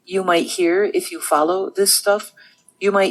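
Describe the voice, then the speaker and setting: A woman with an American accent talks in a medium pitch with ordinary pitch variation. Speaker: nun and theologian. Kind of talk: interview. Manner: hesitant, many fillers.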